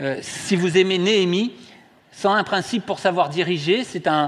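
A man with a high-pitched voice talks moderately fast, his pitch moving in an ordinary way. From southwest France, Toulouse. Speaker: lay preacher, care home director. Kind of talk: sermon. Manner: halting.

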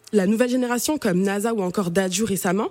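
A woman's unremarkable speaking voice at medium pitch with ordinary pitch variation. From Cameroon. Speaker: radio columnist on African languages. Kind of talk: radio chronicle.

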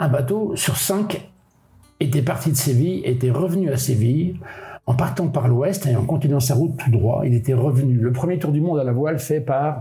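Noticeable background noise runs under a man's voice. He speaks at a moderate pace and medium pitch. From Brittany, France (Molène island, Finistère). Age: 70s. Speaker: solo sailor. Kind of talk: casual interview. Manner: colloquial, hesitant with repetitions.

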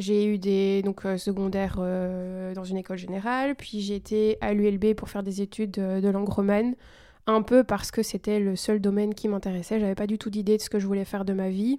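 A woman speaks at medium pitch and a moderate pace, flat and monotone. Her tone is dark and mellow, on a very clean recording with a silent background. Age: 30s. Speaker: teacher and eco content creator. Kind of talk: casual chat.

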